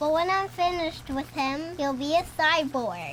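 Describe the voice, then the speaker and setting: Someone does a high-pitched, put-on character voice at a moderate pace over clear background noise. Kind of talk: comedy Halloween skit. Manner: theatrical, cackling.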